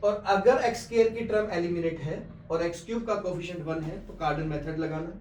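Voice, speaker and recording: Amid noticeable background noise and audible room echo, a man talks at a high pitch with ordinary pitch variation. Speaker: math teacher. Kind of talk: tutorial. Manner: slow.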